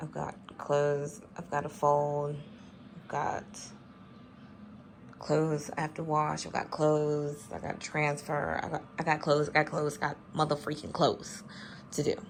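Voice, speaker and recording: Quiet and flat in intonation, a woman with a very deep, low voice talks at a moderate pace, leaving long, frequent pauses while her loudness swings widely. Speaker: vlogger, mother. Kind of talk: casual vlog chat. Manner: quiet, talking low.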